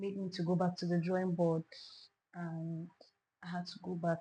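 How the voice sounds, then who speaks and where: A woman speaks in a fairly low, dark, mellow voice that is somewhat breathy. Her intonation stays flat and monotone. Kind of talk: interview answer.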